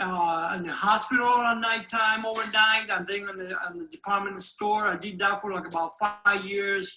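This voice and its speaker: Using a raised, projected voice, a man with a high pitch speaks at a moderate pace with hardly any pauses, fairly even intonation and big swings in loudness. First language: Spanish. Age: 60s. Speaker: formerly incarcerated immigrant telling his story. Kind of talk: testimony. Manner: halting, many hesitations.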